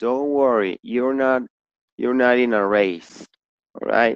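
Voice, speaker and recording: A man's medium-pitched voice with a Spanish accent, fairly even intonation, and a dry, close sound with no echo. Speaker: English teacher. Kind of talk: online class.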